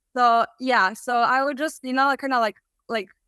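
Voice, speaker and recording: Recorded very cleanly with a silent background and a dry, close sound without echo, a woman with a Serbian accent speaks at a moderate pace in a fairly high pitch with a bright, sharp tone. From Serbia, Belgrade. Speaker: dropshipping student and music artist. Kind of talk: interview.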